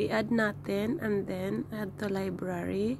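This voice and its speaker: There is noticeable background noise in this clip. A woman speaks at a medium pitch. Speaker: tutorial vlogger. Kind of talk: tutorial. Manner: halting.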